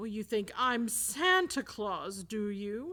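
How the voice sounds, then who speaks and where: In a put-on character voice, a woman speaks at a very slow pace with a fairly high pitch and very wide pitch swings. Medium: read story. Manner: mocking, sinister.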